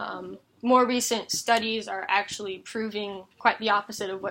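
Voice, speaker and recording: This woman speaks at a moderate pace with a medium pitch. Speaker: college student. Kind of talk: persuasive speech; classroom Q&A. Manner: animated.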